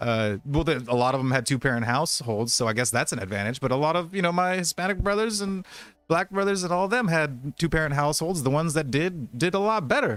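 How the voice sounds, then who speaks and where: A man's very fast, fairly high-pitched speech with very wide pitch swings and hardly any pauses. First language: Spanish. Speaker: podcast co-host. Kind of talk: casual chat. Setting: live stream. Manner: animated.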